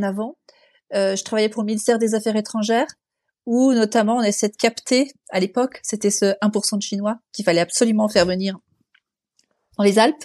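With a dark, mellow tone and fairly high pitch, a woman talks at a moderate pace in fairly even intonation with long, frequent pauses, the sound dry and close with no echo against a quiet background. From France, Annecy (Haute-Savoie). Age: 50s. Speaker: environmental NGO director. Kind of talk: interview. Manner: hesitant, with fillers.

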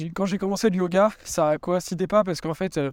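The speech moves at a fairly quick pace with fairly even intonation. The sound is dry and close, with no echo. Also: man. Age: 20s. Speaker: yoga coach. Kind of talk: casual monologue. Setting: outdoors, walking dogs. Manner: hesitant, many fillers.

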